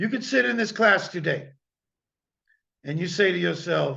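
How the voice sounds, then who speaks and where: A man with an American accent and a high pitch talks in an animated tone with lively intonation at a fairly slow pace, with audible room echo. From US Midwest (Illinois). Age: 60s. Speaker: guest lecturer, lawyer. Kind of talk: lecture. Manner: animated, emphatic.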